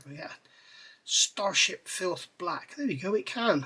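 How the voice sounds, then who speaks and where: There is noticeable background noise as a man with a high pitch uses a raised, projected voice. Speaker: scale model builder. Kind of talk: tutorial. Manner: casual, hesitant with fillers.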